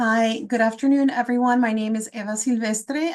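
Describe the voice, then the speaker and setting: Against a quiet background, a woman speaks in an unremarkable speaking voice at a moderate pace. Her pitch is fairly high, with ordinary variation. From South Florida, raised from childhood after leaving Guatemala. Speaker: public health professor. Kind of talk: webinar panel talk.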